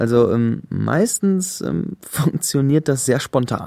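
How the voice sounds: A man's dark, mellow tone at a medium pitch, slow in pace, with vocal fry and lively intonation.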